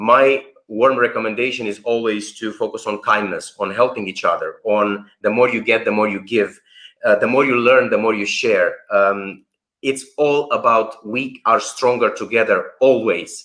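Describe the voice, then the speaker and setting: This man's pace is moderate. He has a non-native accent. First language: not English. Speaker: workshop founder and researcher. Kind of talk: live stream interview. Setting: online live stream. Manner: animated.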